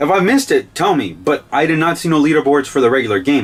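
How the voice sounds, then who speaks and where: Very fast speech from a man with a fairly high pitch and vocal fry. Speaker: game reviewer. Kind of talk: video game review. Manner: casual, rambling with fillers.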